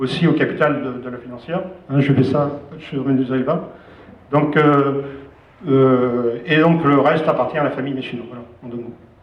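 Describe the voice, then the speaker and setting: Audible room echo surrounds a man with a fairly high pitch and fairly even intonation. He talks at a fairly quick pace but leaves long, frequent pauses. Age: 60s. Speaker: business owner. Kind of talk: speech to staff. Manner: hesitant, many fillers.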